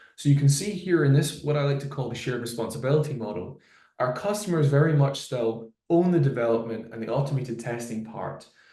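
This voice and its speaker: A man talks very fast in a somewhat breathy, dark and mellow voice at medium pitch. His intonation is lively, and room echo is audible. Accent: Glasgow. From Scotland, Glasgow. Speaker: solutions engineer. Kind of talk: product webinar presentation. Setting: live webinar video call.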